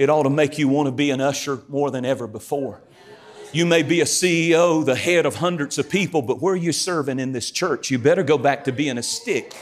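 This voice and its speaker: Delivered at a fairly quick pace with a North Carolina accent, the speech shows ordinary pitch variation over noticeable background noise. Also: man, fairly high pitch for a man. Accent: Southern US (North Carolina). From eastern North Carolina, US South. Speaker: guest preacher. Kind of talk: sermon. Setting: church stage with audience. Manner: animated.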